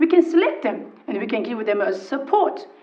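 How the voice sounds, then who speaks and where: With a non-native accent, a woman speaks at a high pitch with very wide pitch swings. The recording has audible room echo and noticeable background noise. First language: not English. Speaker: local councillor. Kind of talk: council meeting debate. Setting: council chamber. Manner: halting.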